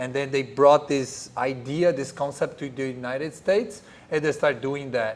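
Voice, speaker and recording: With a Portuguese accent, a man speaks at medium pitch using fairly even intonation. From Brazil. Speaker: jiu-jitsu professor. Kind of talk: podcast interview. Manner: hesitant, repeats words.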